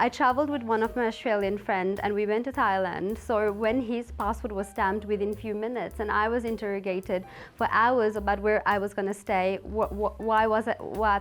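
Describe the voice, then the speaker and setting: Woman's fairly high voice, fairly quick and fairly even in intonation, with music in the background. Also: hardly any pauses. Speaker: beauty pageant contestant. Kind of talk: interview testimony. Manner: fast.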